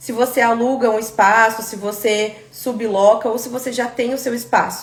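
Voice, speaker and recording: A woman with a Brazilian accent and a fairly high pitch speaks at a moderate pace in a monotone, flat intonation, her loudness swinging widely over noticeable background noise. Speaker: aesthetic pharmacist teaching a course. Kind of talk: live online class. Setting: live stream.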